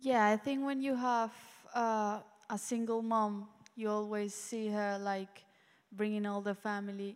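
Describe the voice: A woman speaks in a normal speaking voice with a fairly high pitch. Her pace is fairly slow. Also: fairly even intonation.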